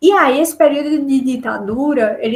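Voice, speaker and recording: A woman's high-pitched voice with ordinary pitch variation at a moderate pace. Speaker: teacher. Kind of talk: webinar lecture. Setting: video call.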